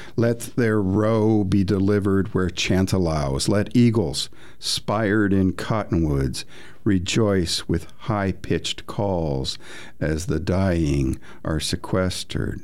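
A man with an American accent and a very deep, low pitch, at a very slow pace with very even loudness and ordinary pitch variation, amid audible room echo. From northern Indiana, US. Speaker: poet. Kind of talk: poetry reading.

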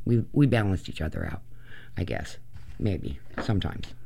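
With lively intonation and vocal fry, a man speaks at a moderate pace. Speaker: radio host. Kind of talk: casual chat. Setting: studio. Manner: casual, hesitant with many fillers.

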